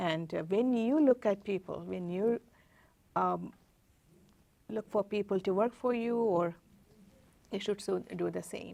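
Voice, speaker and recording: On a very clean recording with a silent background, a dark, mellow voice with a non-native accent speaks at a moderate pace. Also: woman. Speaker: tech executive. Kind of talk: interview. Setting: studio. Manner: halting.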